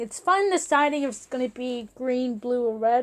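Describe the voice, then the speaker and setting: A woman's high voice at a fairly slow pace, on a very clean recording with a silent background. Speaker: gaming video creator. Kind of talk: unscripted game tutorial. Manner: halting, stutters a lot; casual, filler-heavy.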